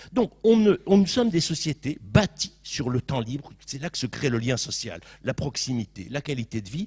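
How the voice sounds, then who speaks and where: Somewhat breathy, a man talks in an animated tone. His pitch swings very widely. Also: fairly high pitch for a man, big swings in loudness. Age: 60s. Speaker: panelist in a public debate. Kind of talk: panel discussion. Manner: fast.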